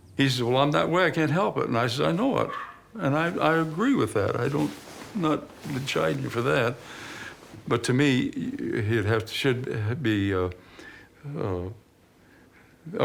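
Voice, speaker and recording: Over noticeable background noise, a man speaks fairly slowly at a medium pitch, with very wide pitch swings and long, frequent pauses. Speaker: father of documentary subject. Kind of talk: documentary interview.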